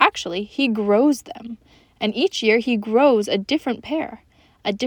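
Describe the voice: The delivery is plain reading aloud with ordinary pitch variation.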